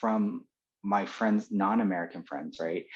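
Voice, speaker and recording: A man talks with a Californian accent. The background is quiet. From California, Los Angeles. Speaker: former teacher in Japan. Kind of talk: interview. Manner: halting, many fillers and repeats.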